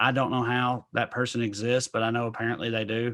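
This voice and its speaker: Recorded very cleanly against a silent background, a man with a strong Tennessee accent talks at medium pitch and a fairly quick pace. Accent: thick Southern (Tennessee). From US South, rural Clay County, Tennessee. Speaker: stand-up comedian. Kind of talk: casual interview chat.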